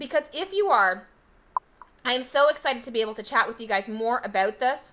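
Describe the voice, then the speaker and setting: Loud and high-pitched, a woman speaks in a bright, sharp tone. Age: 40s. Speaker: health coach. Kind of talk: live stream sales pitch.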